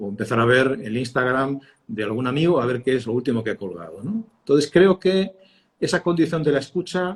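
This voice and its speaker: A man's somewhat breathy voice with lively intonation at a fairly quick pace. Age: 60s. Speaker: communications consultant, former radio and TV journalist. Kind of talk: interview. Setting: live stream. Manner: hesitant, many fillers.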